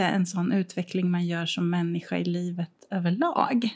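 This voice belongs to a woman. It has a somewhat breathy quality. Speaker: podcast co-host. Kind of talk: casual chat. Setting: co-host's art studio, sharing one mic.

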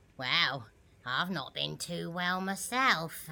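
The intonation is lively. The pace is very slow. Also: woman, fairly low pitch for a woman. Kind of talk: comic character acting. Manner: self-pitying, gossipy, one-upping.

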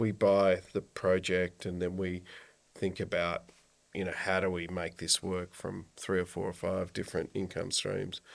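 Very deep and low, a man's voice comes with an Australian accent, a fairly slow pace and monotone, flat intonation on a very clean recording with a silent background. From Australia, rural Victoria. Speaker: environmental business founder. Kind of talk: casual interview. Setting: studio.

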